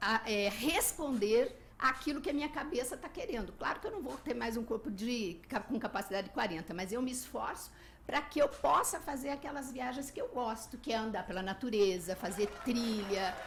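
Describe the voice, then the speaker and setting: With lively intonation, a normal speaking voice moves along at a moderate pace. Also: woman. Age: 60s. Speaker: travel podcaster and blogger. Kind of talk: radio interview.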